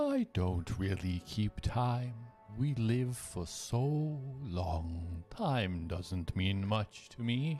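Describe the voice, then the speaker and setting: Against clear music in the background, a man does a put-on character voice at a fairly low pitch, very slow pace and lively intonation. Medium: actual play. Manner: formal, unhurried.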